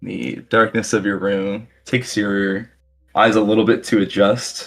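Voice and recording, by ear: The text is being read aloud in a natural voice.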